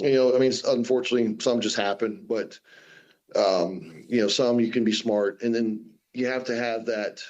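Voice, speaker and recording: Using an ordinary speaking voice, a man with an American accent talks at a moderate pace with a medium pitch and ordinary pitch variation. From US Southwest, Phoenix. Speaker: professional strongman. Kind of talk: radio interview.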